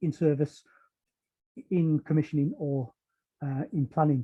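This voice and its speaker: A man speaks in a northeast England accent. His voice is fairly high and somewhat breathy. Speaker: power system protection engineer. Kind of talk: technical webinar talk. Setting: online webinar. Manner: hesitant, many fillers.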